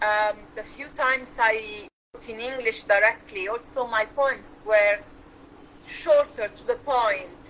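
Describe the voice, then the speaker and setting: Against noticeable background noise, a woman talks at a fairly slow pace and high pitch with ordinary pitch variation. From Switzerland. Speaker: poetry show host. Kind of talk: interview.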